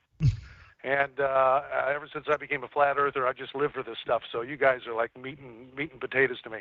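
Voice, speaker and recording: Speaking fairly quickly with an American accent, a man keeps a medium pitch and flat, monotone intonation. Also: big swings in loudness. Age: 60s. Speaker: caller. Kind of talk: call-in discussion. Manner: halting.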